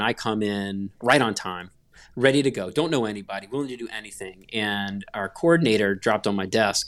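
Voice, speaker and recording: Using a normal speaking voice, a man talks at a moderate pace in a medium pitch with ordinary pitch variation. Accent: American. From US South, North Carolina (Gastonia). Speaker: graphic designer. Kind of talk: casual interview chat.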